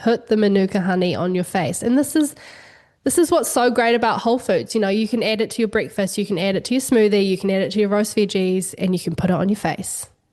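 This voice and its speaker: This voice carries a New Zealand accent. It moves at a very fast pace with ordinary pitch variation. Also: woman, medium pitch for a woman. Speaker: wellness entrepreneur and cookbook author. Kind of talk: podcast interview.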